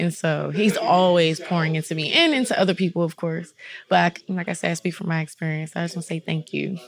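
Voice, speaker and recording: A woman with an American accent talks at a very fast pace, her pitch fairly low and her intonation fairly even. Noticeable background noise runs under her voice. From Maryland, Prince George's County. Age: 30s. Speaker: yoga instructor and massage therapist. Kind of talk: casual chat.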